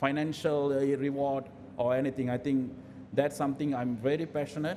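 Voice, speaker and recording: A man's fairly high, dark, mellow voice with ordinary pitch variation and audible room echo. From raised in various countries. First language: not English. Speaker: health and safety professional, panel speaker. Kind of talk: panel talk at event. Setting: event hall with audience. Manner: hesitant, many fillers.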